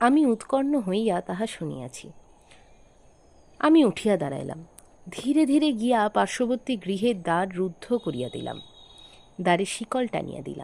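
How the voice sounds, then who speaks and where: A woman's medium-pitched voice rises and falls in very wide pitch swings. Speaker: audio story narrator. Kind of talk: horror story reading.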